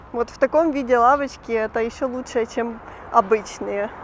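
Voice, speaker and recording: A woman speaks in a fairly high pitch over noticeable background noise. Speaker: vlogger. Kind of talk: walking vlog narration. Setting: outdoors, walking the streets.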